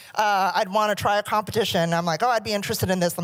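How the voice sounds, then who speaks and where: This is a woman with an American accent. Her pitch variation is ordinary. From California, US. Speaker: music company CEO. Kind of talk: keynote speech.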